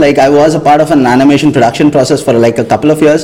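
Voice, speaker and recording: Noticeable background noise sits behind a man speaking with a fairly high pitch. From India. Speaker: film director. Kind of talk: interview. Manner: halting.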